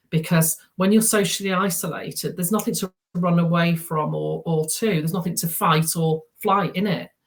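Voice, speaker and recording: A woman speaks in a somewhat breathy voice at a fairly low pitch and moderate pace, with fairly even intonation. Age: 60s. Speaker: therapy practitioner. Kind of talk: interview. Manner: halting, many repetitions.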